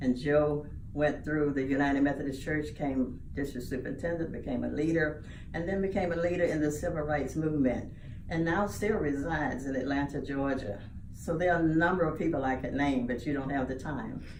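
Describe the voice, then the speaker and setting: A woman with a very deep, low pitch speaks at a fairly quick pace with ordinary pitch variation, amid noticeable background noise and audible room echo. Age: 80s+. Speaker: church lay leader. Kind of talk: interview.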